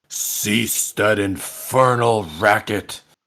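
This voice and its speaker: The voice is a put-on character voice with a rumbling sound. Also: man, medium pitch for a man. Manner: commanding, irritated.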